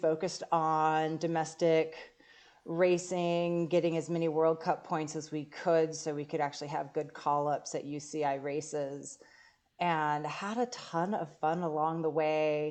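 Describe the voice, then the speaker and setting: A woman's very deep, low voice with fairly even intonation, set against a quiet background. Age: 40s. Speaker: professional mountain bike racer and coach. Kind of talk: interview.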